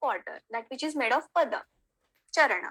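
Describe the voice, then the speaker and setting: A woman's high, bright, sharp voice in a Marathi accent, with ordinary pitch variation. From Maharashtra, India. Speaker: Sanskrit teacher. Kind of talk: online lecture.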